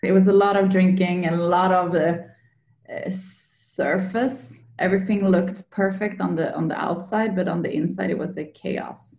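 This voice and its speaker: With a Swedish accent, a woman speaks at a medium pitch and a moderate pace. Her pitch varies in an ordinary way. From Sweden, Linköping. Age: 30s. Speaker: yoga coach. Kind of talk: interview, personal story. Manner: halting, many fillers.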